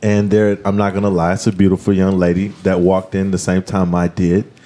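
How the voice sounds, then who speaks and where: Noticeable background noise sits behind a man speaking at a moderate pace in a fairly low pitch. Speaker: podcast host. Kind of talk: casual chat. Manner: loud; animated.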